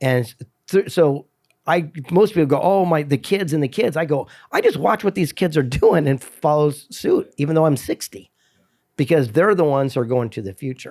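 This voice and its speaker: Speaking at a moderate pace, a man uses a plain, everyday voice pitched fairly high. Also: lively intonation. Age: 60s. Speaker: motivational speaker and author. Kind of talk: casual chat.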